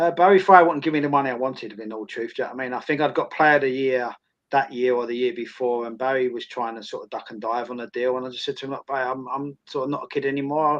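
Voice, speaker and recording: With an Essex accent, a man speaks very fast at a medium pitch, his intonation fairly even and hardly any pauses. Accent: Essex twang. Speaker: former footballer and academy coach. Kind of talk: interview.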